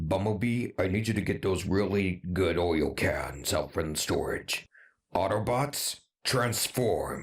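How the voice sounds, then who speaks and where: On a very clean recording with a silent background, a man does a raspy, cartoonish character voice with a fairly low pitch at a fairly slow pace. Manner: casual, offhand commanding.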